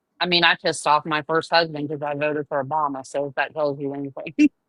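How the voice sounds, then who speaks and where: The voice has a bright, sharp tone and a Southern US accent. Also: woman. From US South, Charleston, South Carolina. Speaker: caller. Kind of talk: casual chat. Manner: halting.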